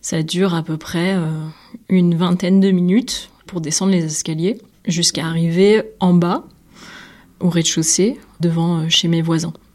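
Speaking fairly slowly with fairly even intonation, a woman has an unremarkable speaking voice at a fairly low pitch. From southern France, Nîmes. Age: 20s. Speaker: visual artist. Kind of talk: personal testimony.

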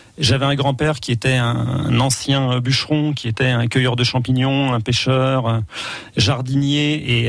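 With noticeable background noise behind him, this man holds a medium pitch in monotone, flat intonation. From France, Loiret then Brittany (Morbihan). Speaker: wildlife photographer. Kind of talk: radio interview. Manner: halting, many repetitions.

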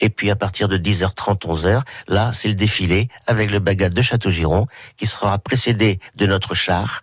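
Over a quiet background, a somewhat breathy man with a fairly low pitch speaks at a moderate pace and fairly even intonation. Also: dry, close sound with no echo. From Brittany. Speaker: village festival committee member. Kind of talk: radio interview. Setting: radio studio. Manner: halting.

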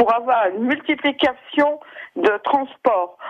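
Pitched high, a woman speaks at a very slow pace with ordinary pitch variation. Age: 60s. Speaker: radio caller, unemployed. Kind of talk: call-in comment.

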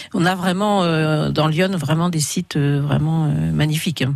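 A woman with a very deep, low pitch and fairly even intonation. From Burgundy, France (Vézelay, Yonne). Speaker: winegrower. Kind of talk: radio interview. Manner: halting.

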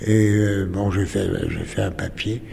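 A man speaks over noticeable background noise. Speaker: writer and former journalist. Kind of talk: recollection interview. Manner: halting, repeating words.

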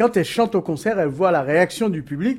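On a very clean recording with a silent background, a man with a high pitch talks fairly quickly, his voice making very wide pitch swings. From Cape Verde, Dakar and Paris suburbs. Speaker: record label founder. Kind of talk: casual interview. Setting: outdoors.

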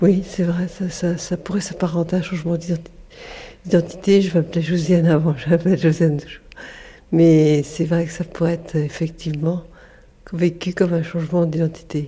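A woman speaks at a moderate pace with long, frequent pauses, in a fairly low pitch with a dark, mellow, somewhat breathy tone and monotone, flat intonation. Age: 50s. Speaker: Parkinson's patient. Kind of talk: testimony.

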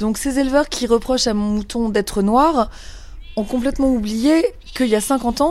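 A high-pitched woman's voice at a moderate pace. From Paris. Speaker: sheep farmer. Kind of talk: testimony.

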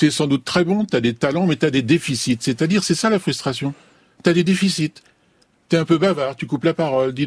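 A man speaks at a moderate pace in a fairly high, somewhat breathy voice with ordinary pitch variation. The sound is dry and close, with no echo. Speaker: clinical psychologist. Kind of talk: radio discussion. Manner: outspoken.

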